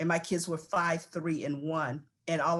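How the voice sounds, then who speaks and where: Here is a woman with a normal speaking voice. She talks at a fairly quick pace and a fairly low pitch. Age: 60s. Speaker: panelist. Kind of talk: panel discussion.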